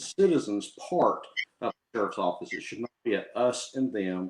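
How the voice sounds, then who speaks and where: Speaking at a moderate pace, a man talks with a Southern US accent. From southwest Arkansas (Texarkana). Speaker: sheriff candidate, deputy sheriff. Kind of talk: interview. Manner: hesitant, many fillers.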